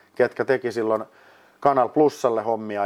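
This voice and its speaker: A man talks at a moderate pace in a plain, everyday voice, with ordinary pitch variation and a dry, close sound with no echo. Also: quiet background. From Finland, Lahti. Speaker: ice hockey studio host and producer. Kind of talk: casual interview. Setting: mini studio.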